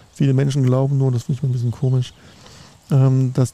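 The speaker is a man with a medium-pitched voice. He talks at a fairly quick pace. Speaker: sales analyst and business consultant. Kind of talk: casual chat. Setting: outdoors.

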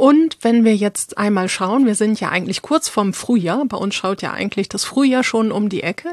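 This woman has an ordinary speaking voice with a fairly high pitch. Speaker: podcast host. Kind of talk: casual chat.

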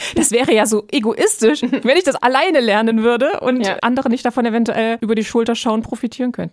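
A woman at a high pitch and a very fast pace with hardly any pauses, in a dry, close sound with no echo, plus noticeable background noise. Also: ordinary pitch variation. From eastern Germany. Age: 30s. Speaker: podcast host. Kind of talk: casual chat.

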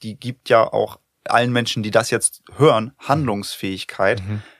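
An ordinary speaking voice, a man's fairly low one, moves at a moderate pace with ordinary pitch variation, recorded dry and close with no echo, very clean, over a silent background. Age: 30s. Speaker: podcast host. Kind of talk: casual chat.

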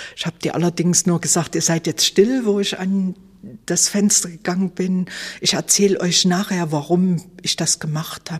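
Somewhat breathy, a woman with a fairly low pitch speaks at a moderate pace with fairly even intonation. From Leipzig, Saxony, East Germany. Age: 60s. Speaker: former Stasi archive head, eyewitness. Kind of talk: interview testimony.

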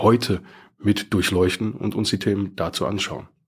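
A man speaks at a moderate pace with fairly low pitch. His voice is somewhat breathy. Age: 30s. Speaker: bank mortgage advisor. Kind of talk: casual interview.

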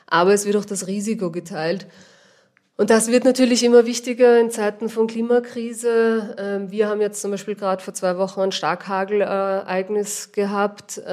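In a Viennese accent, a woman of medium pitch speaks at a moderate pace. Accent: Viennese, audible. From Vienna, Austria. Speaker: organic vegetable grower. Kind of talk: interview.

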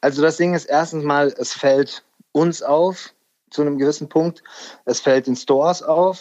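This man has a normal speaking voice, fairly high in pitch, with fairly even intonation and a fairly slow pace. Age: 40s. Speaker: music industry A&R manager. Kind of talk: casual interview chat. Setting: remote call.

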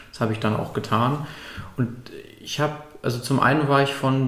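A man speaks at a fairly quick pace with fairly even intonation. Audible room echo surrounds his voice. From northern Germany, Lübeck. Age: young. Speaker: climate activist. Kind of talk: casual interview.

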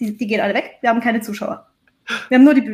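Pitched fairly high, a woman talks with a normal speaking voice and ordinary pitch variation. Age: 30s. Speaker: change management consultant. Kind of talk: casual interview chat.

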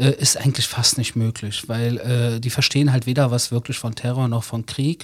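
A somewhat breathy man at a moderate pace, with monotone, flat intonation and hardly any pauses. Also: medium pitch for a man. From Germany, Berlin (Wedding). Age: 40s. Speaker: author. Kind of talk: interview. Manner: conversational, with fillers.

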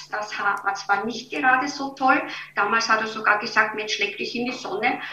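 A woman talks at a moderate pace in a fairly high voice with ordinary pitch variation. The recording has audible room echo and noticeable background noise. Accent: slight Viennese. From Austria, Vienna. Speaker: beauty and health coach. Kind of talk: interview.

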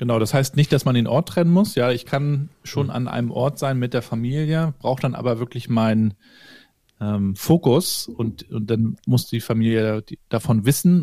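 Here a man with a medium pitch and a dark, mellow tone talks at a moderate pace. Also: ordinary pitch variation, dry, close sound with no echo. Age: 40s. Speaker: organisational developer and podcaster. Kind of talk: casual interview chat.

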